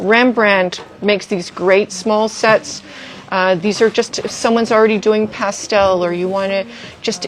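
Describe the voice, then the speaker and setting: Over noticeable background noise, a woman talks at a medium pitch with fairly even intonation. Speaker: art supply store staff. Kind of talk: product showcase livestream. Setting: Instagram livestream. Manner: fast.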